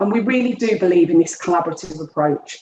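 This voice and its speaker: A woman speaks with a Birmingham accent. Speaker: education programme director, former head teacher. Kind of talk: webinar presentation.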